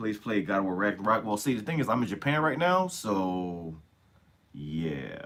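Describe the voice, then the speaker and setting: Noticeable background noise surrounds a man with a fairly low pitch. He speaks at a moderate pace with very wide pitch swings. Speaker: streamer. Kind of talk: live stream chat with viewers. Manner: casual, profane.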